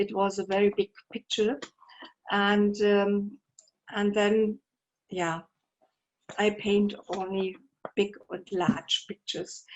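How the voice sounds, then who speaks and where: A woman speaks very slowly with a German accent, at a medium pitch. Her intonation is monotone and flat, with long, frequent pauses. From Germany. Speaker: painter. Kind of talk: artist talk. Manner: halting.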